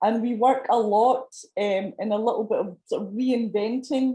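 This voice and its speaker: A woman with a Scottish accent speaks at a moderate pace in a monotone, flat intonation. Her fairly high voice is somewhat breathy, with a dark, mellow tone. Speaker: panel expert. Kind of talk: panel discussion.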